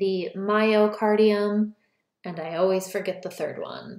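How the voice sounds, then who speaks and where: Speaking very slowly, a woman uses a medium pitch. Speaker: college biology instructor. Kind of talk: lecture. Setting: recorded lecture video.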